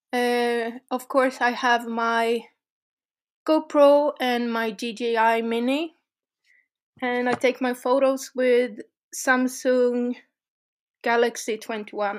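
A high-pitched woman with a Swedish accent, monotone and flat, very slow with long, frequent pauses, on a very clean recording with a silent background. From Sweden. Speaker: urban explorer. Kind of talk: casual interview. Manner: halting.

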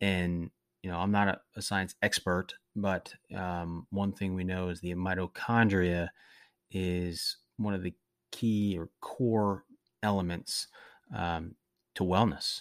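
A man speaks at a very slow pace in a very deep, low pitch with monotone, flat intonation and long, frequent pauses. The recording is very clean with a silent background and a dry, close sound with no echo. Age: 40s. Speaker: wellness podcast host. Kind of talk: solo monologue podcast. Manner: frequent filler words and self-corrections.

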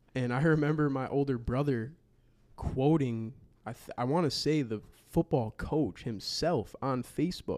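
In a plain, everyday voice, a man with an American accent speaks at a fairly high pitch and moderate pace, with ordinary pitch variation. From Wisconsin. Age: 20s. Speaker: podcast host and basketball creator. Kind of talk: casual chat.

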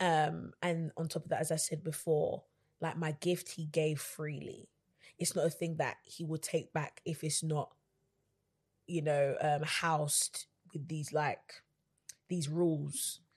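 The voice is somewhat breathy, with a London accent and monotone, flat intonation. It moves at a fairly slow pace with long, frequent pauses. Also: woman, very deep, low pitch for a woman, quiet background. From London, England. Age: 20s. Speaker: gospel singer and songwriter. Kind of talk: casual interview.

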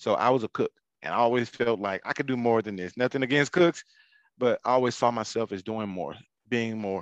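An ordinary speaking voice from a man at a medium pitch, fairly quick in pace with ordinary pitch variation, in a dry, close sound with no echo and a quiet background. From US South, Atlanta, Georgia. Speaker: military veteran and small business owner. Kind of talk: interview, personal testimony.

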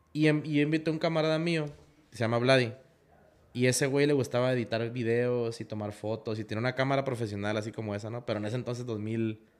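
A man speaks at a very fast pace in a medium pitch, with ordinary pitch variation. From Tijuana, Baja California, Mexico. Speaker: off-road content creator. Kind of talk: casual interview chat. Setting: workshop recording space.

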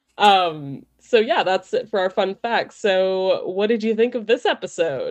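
Over music in the background, a woman at medium pitch talks at a fairly slow pace with hardly any pauses and lively intonation. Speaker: podcast host. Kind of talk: casual chat.

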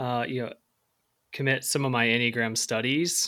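This is a man with an American accent at a medium pitch. The recording is very clean, with a silent background. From US Midwest (Central Illinois). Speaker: author and podcast co-host. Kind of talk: casual chat.

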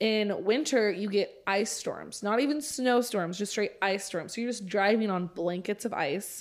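In a plain, everyday voice, a woman with an American accent speaks at a medium pitch and a fairly slow pace, with ordinary pitch variation and hardly any pauses. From Oklahoma. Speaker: podcast guest. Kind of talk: casual chat.

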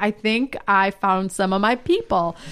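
A woman with a medium pitch speaks at a fairly slow pace in a plain, everyday voice. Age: 30s. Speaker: stand-up comedian. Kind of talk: casual interview chat.

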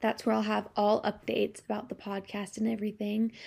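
Speaking at a very fast pace, a woman with a fairly high, somewhat breathy voice keeps a fairly even intonation on a very clean recording with a silent background. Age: 20s. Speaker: podcast host, college student and dance teacher. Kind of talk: casual solo podcast monologue.

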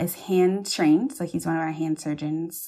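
A woman with an American accent, fairly low pitch, fairly even intonation, an ordinary speaking voice, very clean recording, silent background. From US South, Charleston, South Carolina. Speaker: plastic surgery resident. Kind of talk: interview.

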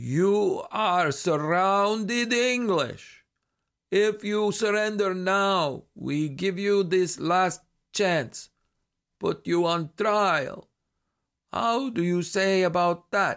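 Using a put-on character voice, a man speaks very slowly in a high, guttural voice with ordinary pitch variation, on a very clean recording with a silent background. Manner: slow, measured, threatening.

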